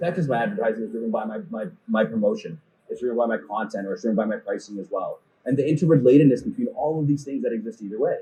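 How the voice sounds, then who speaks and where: With a Canadian accent, a man talks very fast in a fairly high, somewhat breathy voice of dark, mellow tone, his pitch swinging very widely. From Canada, Toronto. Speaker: e-commerce conference speaker. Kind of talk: conference talk. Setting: stage with audience.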